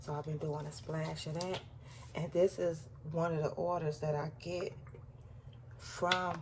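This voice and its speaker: With vocal fry and a very deep, low pitch, a woman talks at a fairly slow pace, her intonation fairly even and her pauses long and frequent. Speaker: lifestyle vlogger. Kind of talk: casual vlog talk. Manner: talking low.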